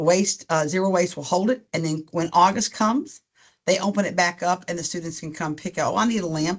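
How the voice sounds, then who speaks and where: Speaking at a fairly quick pace, a woman with fairly low pitch and ordinary pitch variation comes through over a quiet background. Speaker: university events director. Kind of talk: webinar presentation. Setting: online webinar. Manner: fast; casual, filler-heavy.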